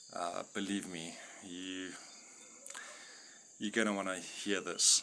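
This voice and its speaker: This man's very deep, low voice moves at a fairly slow pace in a monotone, flat delivery over noticeable background noise. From South Africa, Witbank. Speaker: anti-poaching ranger and religious vlogger. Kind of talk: monologue to camera. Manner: hesitant, many fillers.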